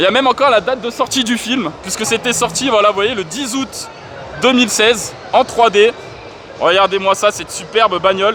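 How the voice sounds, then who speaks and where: A man's raised, projected voice, high-pitched and animated, with ordinary pitch variation, a moderate pace and noticeable background noise. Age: 30s. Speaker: gaming YouTuber. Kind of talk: vlog walkthrough. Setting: gaming convention hall.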